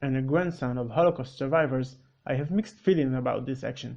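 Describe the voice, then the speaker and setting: A man with an Israeli accent talks at a fairly quick pace with lively intonation. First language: Hebrew. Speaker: debunking video creator. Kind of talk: rebuttal commentary.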